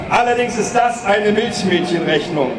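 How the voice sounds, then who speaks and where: Fairly even intonation at a moderate pace, with noticeable background noise. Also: man. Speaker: speaker. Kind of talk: political rally speech. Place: stage. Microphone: podium.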